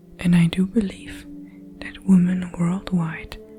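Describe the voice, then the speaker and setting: A woman speaks at a fairly slow pace in a flat monotone. Music plays in the background. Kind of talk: spiritual poetry reading. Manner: soft-spoken.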